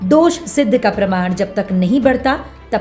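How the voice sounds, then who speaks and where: A woman speaks at a medium pitch with very wide pitch swings, music playing in the background. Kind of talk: TV news report voice-over.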